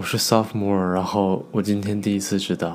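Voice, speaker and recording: The man speaks at a fairly low pitch. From China. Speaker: university student. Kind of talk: casual chat.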